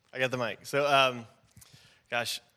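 With an American accent, a man speaks at a moderate pace in a fairly high pitch and a bright, sharp tone. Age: 30s. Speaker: pastor. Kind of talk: casual chat.

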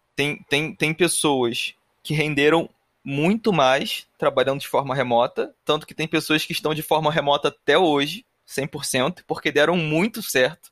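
A man with a fairly high pitch uses a normal speaking voice at a fairly slow pace, with ordinary pitch variation. The recording is very clean with a silent background, and the sound is dry and close with no echo. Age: 30s. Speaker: podcast host, production engineer. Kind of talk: casual chat.

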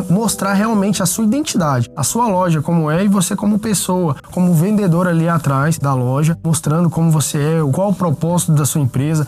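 There is noticeable background noise as a man with a high pitch speaks at a moderate pace. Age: 20s. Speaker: online shop co-founder. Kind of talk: interview. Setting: studio.

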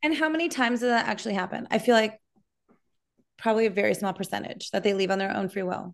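Against a quiet background, a medium-pitched woman with an American accent talks very fast with lively intonation. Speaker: podcast co-host. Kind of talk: casual chat.

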